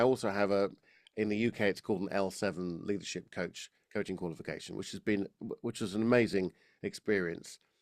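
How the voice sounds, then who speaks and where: Recorded very cleanly against a silent background, a man with an Estuary accent speaks at a fairly low pitch, with a dry, close sound that has no echo. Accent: estuary English, slightly Cockney. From London, England. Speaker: voice and public speaking coach. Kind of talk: podcast interview. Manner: halting, many false starts.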